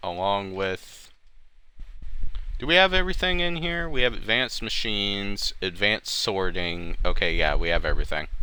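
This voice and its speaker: Bright and sharp in tone, a man's fairly low voice moves through very wide pitch swings. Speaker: gaming streamer. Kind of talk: live gameplay commentary. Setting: live stream. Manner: casual, conversational.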